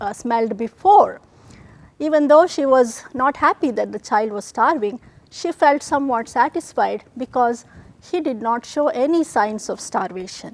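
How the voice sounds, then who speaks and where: In a Kannada accent, a woman speaks with a high pitch, lively intonation and a moderate pace. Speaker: TV show host, spiritual storyteller. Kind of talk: devotional storytelling presentation.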